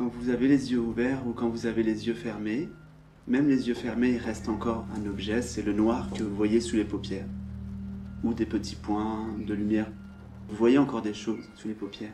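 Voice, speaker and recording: A man's calm, fairly low voice over music in the background. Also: ordinary pitch variation. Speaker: spiritual teacher. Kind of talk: spiritual satsang talk, non-dual teaching. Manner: calm, contemplative, slow, with pauses.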